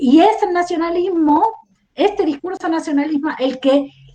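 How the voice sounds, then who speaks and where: The pace is fairly slow. A woman talks with a non-native accent. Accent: foreign Spanish accent, noticeable. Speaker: historian. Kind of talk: podcast interview discussion. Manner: reflective, many rhetorical questions.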